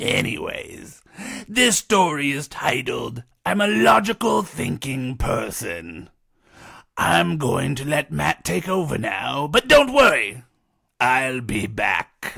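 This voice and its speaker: Using a put-on character voice, a man speaks at a medium pitch and a fairly slow pace. The delivery is playful and theatrical. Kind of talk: campy horror host. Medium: read story. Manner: playful, theatrical.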